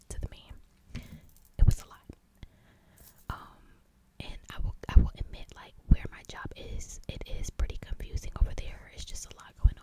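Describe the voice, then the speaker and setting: The voice whispers at a moderate pace. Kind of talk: ASMR whisper ramble; casual storytelling to camera. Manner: whispered.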